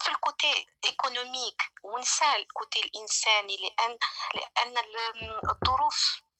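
A high-pitched woman speaking at a very slow pace, with ordinary pitch variation. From Algeria. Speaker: caller. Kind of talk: call-in opinion. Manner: halting.

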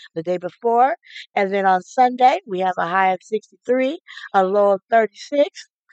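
A woman with a plain, everyday voice and an American accent speaks at a fairly slow pace and medium pitch, with ordinary pitch variation, in a dry, close sound with no echo. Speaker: radio DJ. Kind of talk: radio show host patter between music. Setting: radio studio broadcast. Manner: upbeat, chatty.

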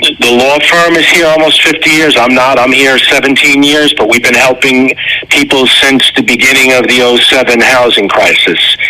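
Speaking at a fairly slow pace with hardly any pauses, a man at medium pitch keeps his loudness very even and his intonation fairly even over noticeable background noise. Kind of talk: radio ad interview.

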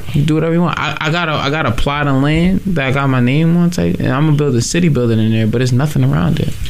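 Talking at a very fast pace, a man with a fairly high pitch keeps his loudness very even while noticeable background noise runs underneath. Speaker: radio co-host. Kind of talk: casual chat. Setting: studio.

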